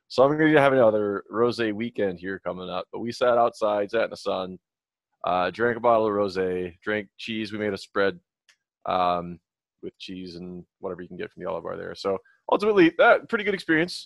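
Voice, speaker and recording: In an ordinary speaking voice, a man with a fairly low pitch speaks at a fairly quick pace, with ordinary pitch variation and big swings in loudness. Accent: American. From Minnesota. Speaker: podcast co-host. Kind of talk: casual chat. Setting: video call.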